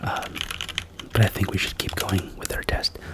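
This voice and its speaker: Whispering at a moderate pace, a man keeps a gentle, calm tone over noticeable background noise. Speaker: ASMR creator doing a doctor roleplay. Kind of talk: ASMR roleplay, soft-spoken. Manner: soft-spoken, gentle, calm.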